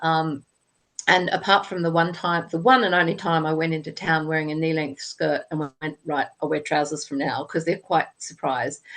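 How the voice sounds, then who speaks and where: A woman's very deep, low voice in an Australian accent, at a moderate pace with fairly even intonation. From Australia, Sydney. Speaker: author. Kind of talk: interview.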